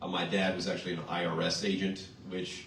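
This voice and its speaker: A man talks at a very fast pace in a very deep, low voice, with audible room echo and noticeable background noise. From Louisiana, Mandeville. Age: 30s. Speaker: politician. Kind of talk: campaign speech.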